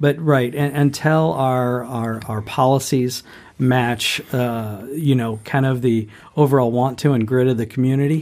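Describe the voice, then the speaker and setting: It is a plain, everyday voice from a man with an American accent. He speaks at a fairly slow pace and medium pitch, with fairly even intonation. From southeastern Ohio, Appalachia. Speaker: podcast host, energy consultant. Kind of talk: interview.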